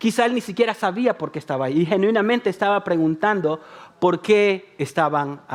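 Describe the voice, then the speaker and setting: The man's tone is animated, and his intonation is lively. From El Salvador. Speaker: pastor. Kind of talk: sermon.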